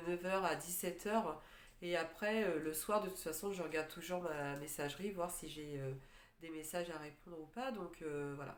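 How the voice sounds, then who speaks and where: Speaking at a moderate pace, a woman keeps a fairly low pitch with ordinary variation. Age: 40s. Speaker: life coach for separated mothers. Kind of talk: casual talk to camera. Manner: hesitant, many filler words.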